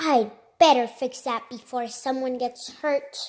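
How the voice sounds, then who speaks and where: A woman's put-on character voice, high in pitch and fairly slow, on a very clean recording with a silent background. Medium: read story.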